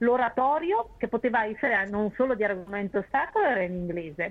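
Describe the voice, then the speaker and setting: A woman speaks at a moderate pace. Her pitch sits fairly high, with lively intonation. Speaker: opera writer and critic. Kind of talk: interview about opera history.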